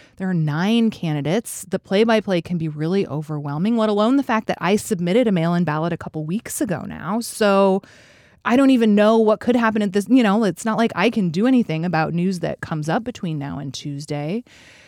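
A woman with an American accent has an ordinary speaking voice at medium pitch and lively intonation. The recording is very clean with a silent background and a dry, close sound with no echo. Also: fairly quick pace. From Alaska, US. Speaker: podcast host. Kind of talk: casual chat.

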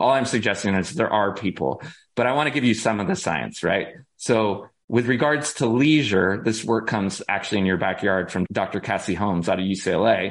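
Here is a normal speaking voice from a man with a fairly low pitch. He moves at a moderate pace with lively intonation. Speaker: organizational psychologist and author. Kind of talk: casual interview chat.

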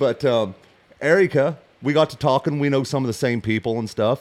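With an American accent and a plain, everyday voice, a man speaks at a moderate pace with ordinary pitch variation. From US Midwest, western Illinois. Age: 40s. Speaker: hunting outfitter. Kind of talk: casual chat.

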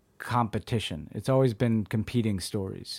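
On a very clean recording with a silent background, a man speaks at a moderate pace with a medium pitch. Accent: American. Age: 40s. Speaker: former presidential speechwriter and memoir author. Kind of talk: interview. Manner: halting, many fillers.

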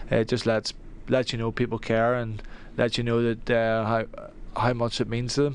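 A man with a Northern Irish accent at a moderate pace, medium pitch, monotone and flat, with long, frequent pauses over a quiet background. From Northern Ireland. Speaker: soccer player. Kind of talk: radio interview. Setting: studio.

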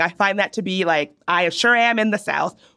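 With an American accent, a woman talks at a moderate pace in a bright, sharp tone. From Virginia, near Richmond. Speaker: podcast co-host. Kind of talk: casual chat.

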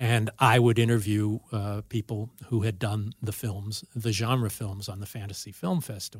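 A somewhat breathy, fairly low-pitched man's voice with an American accent, fairly even intonation, and hardly any pauses, on a very clean recording with a silent background. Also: moderate pace. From US West Coast, Los Angeles. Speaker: film director and writer. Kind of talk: casual chat. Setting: studio.

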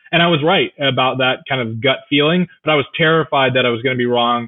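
With a Californian accent, a man speaks at a fairly quick pace and medium pitch. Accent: General American (Californian). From US West Coast (Orange County, California). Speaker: journalist. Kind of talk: interview.

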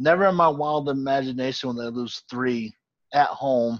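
A man has an ordinary speaking voice at a medium pitch with fairly even intonation. The background is quiet. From Boston area, Massachusetts. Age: 40s. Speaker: sports podcast host. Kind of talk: casual chat.

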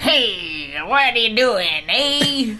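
A female-sounding, put-on character voice with high pitch comes through over clear background noise. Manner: rough, slurred, cigar-chomping.

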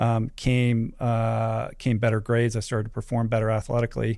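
In a very clean recording with a silent background, a man with an American accent speaks at a medium pitch and a moderate pace, his tone dark and mellow. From US, Washington D.C. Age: 50s. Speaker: ultra-endurance athlete and podcast host. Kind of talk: casual interview conversation.

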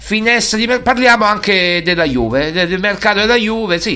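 Music plays in the background. Over it, a man uses a raised, projected voice. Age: 40s. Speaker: sports radio host. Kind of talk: casual monologue. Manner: animated.

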